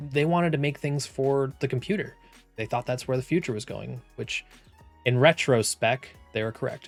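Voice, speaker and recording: Music plays in the background as a man speaks at medium pitch and a moderate pace. His pitch variation is ordinary. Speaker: gaming history video host. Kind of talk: video essay narration.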